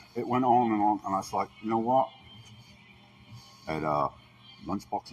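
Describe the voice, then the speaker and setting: A man at a fairly low pitch and a fairly quick pace, music playing in the background. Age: 60s. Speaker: complainant reporting an assault. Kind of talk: statement to police.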